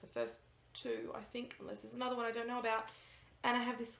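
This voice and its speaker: With audible room echo, a woman speaks in a high pitch with an Australian accent. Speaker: cross-stitch vlogger. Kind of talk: casual vlog chat. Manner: fast; animated.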